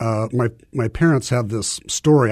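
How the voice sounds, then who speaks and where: Somewhat breathy and dark, mellow in tone, a man speaks at a medium pitch. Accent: Midwestern American. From US Midwest, small-town Nebraska. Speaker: missionary. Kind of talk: testimony. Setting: studio.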